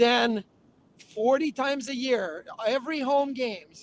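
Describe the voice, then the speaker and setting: Speaking with a French-Canadian accent, a man keeps his intonation fairly even. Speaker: former hockey player and TV hockey analyst. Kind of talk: interview. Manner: fast.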